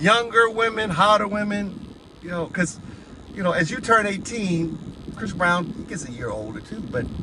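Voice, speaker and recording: A man with an American accent uses a raised, projected voice at a high pitch, with ordinary pitch variation and a moderate pace. His loudness swings widely, and background noise is noticeable. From United States. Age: 60s. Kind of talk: opinion rant monologue.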